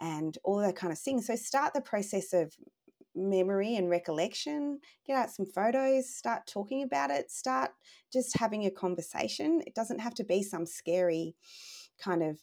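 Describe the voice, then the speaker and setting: On a very clean recording with a silent background, a woman with an Australian accent speaks at a moderate pace in a dark, mellow tone of medium pitch, with very wide pitch swings. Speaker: life story business founder and former journalist. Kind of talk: casual chat.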